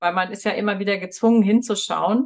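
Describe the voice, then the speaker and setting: A woman speaks at medium pitch with fairly even intonation. Hers is an unremarkable speaking voice. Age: 40s. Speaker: podcast host. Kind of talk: interview.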